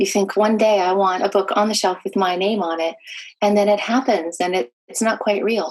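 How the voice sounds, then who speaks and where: A woman with an American accent talks at a fairly quick pace, her pitch medium and her voice a normal speaking voice. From California, US. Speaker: author. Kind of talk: interview.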